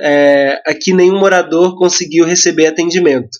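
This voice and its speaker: At a fairly slow pace, a high-pitched man speaks with ordinary pitch variation. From Brazil, Mauá (São Paulo). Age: 20s. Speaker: photographer and education activist. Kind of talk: podcast interview. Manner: passionate.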